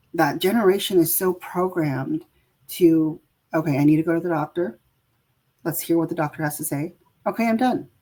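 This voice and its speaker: Speaking with a West Coast accent, a woman uses a fairly low voice with a dark, mellow tone, ordinary pitch variation and long, frequent pauses. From San Francisco Bay Area, US. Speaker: caregiver and healthcare worker. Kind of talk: interview. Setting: video call. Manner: many fillers and restarts.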